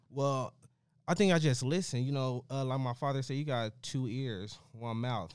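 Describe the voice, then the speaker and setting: A man with an American accent and a medium pitch speaks at a moderate pace with ordinary pitch variation. It is an ordinary speaking voice. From US West, Las Vegas. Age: 20s. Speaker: real estate investor and credit consultant. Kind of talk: interview.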